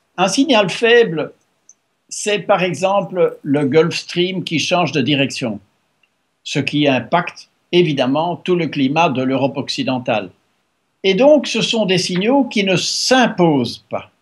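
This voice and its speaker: Pausing long and often, a man with a high pitch talks very slowly, his pitch swinging very widely. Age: 70s. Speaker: author and former EU policy adviser. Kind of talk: interview. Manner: halting.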